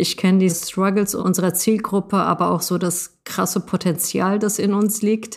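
The delivery is monotone with flat intonation at a moderate pace. There are hardly any pauses. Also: woman, medium pitch for a woman, very even loudness. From Germany, Moroccan family. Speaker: project lead at a nonprofit. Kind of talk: interview.

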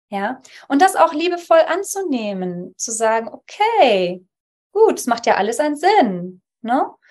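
A woman speaks with very wide pitch swings. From Poland (Upper Silesia), raised in Germany from childhood. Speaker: Theta Healing practitioner. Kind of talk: interview conversation.

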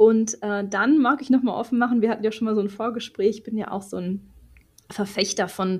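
A woman's fairly high-pitched voice with a dark, mellow tone, in a very clean recording with a silent background. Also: big swings in loudness. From Ruhr area, Germany. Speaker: podcast host and supervisor coach. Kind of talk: interview.

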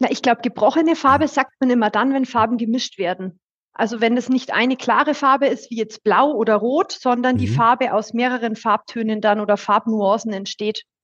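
A woman's fairly high pitch at a fairly quick pace, with ordinary pitch variation and a dry, close sound with no echo. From Upper Franconia, Bayreuth. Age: 30s. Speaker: partner management head at a broker network. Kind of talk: casual interview. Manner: trained clear speech.

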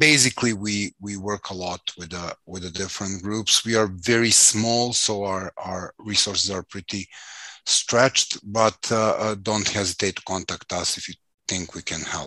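A man with a Serbian accent has a bright, sharp tone, fairly low pitch and fairly even intonation. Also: moderate pace, big swings in loudness, dry, close sound with no echo. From Serbia, Belgrade. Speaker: activist trainer and consultant. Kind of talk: interview.

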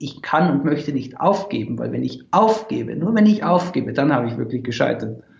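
Speech at a fairly quick pace against noticeable background noise. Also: man. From Austria, Tyrol. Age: 20s. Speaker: startup founder. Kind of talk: interview.

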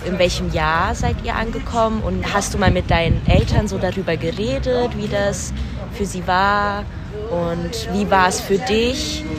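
With noticeable background noise and audible room echo, a woman talks at a fairly slow pace. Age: 20s. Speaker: podcast host. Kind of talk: interview.

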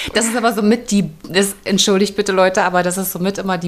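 An unremarkable speaking voice, a woman at medium pitch with ordinary pitch variation. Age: 40s. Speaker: actress and podcast co-host. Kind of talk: casual chat. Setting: recording together in a room overlooking the cathedral.

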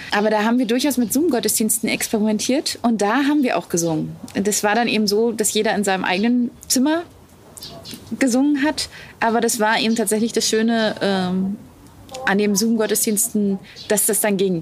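A woman speaks at a moderate pace with a fairly high pitch and ordinary pitch variation. Her loudness stays very even. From Wittenberg, Saxony-Anhalt, Germany. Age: young. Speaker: pastor. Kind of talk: interview. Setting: outdoors, parsonage garden.

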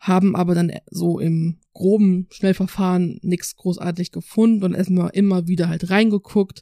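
Speaking with hardly any pauses, a woman of medium pitch keeps a monotone, flat intonation on a very clean recording with a silent background. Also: moderate pace. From North Rhine-Westphalia, Dormagen near Cologne. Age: 20s. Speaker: university student. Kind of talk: interview. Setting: studio.

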